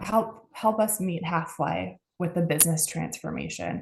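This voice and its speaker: A woman's fairly low, fry-tinged voice with an American accent and ordinary pitch variation. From United States. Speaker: advertising executive. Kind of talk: interview.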